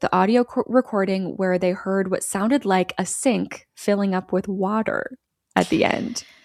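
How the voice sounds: The background stays quiet. The reading voice sounds natural.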